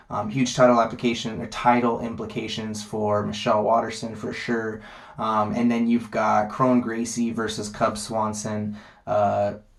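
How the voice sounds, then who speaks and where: A man's medium-pitched voice in a flat monotone, with audible room echo. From Las Vegas, US. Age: 20s. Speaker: MMA vlogger. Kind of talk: casual monologue. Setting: sitting on toilet at home. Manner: fast; many filler ums.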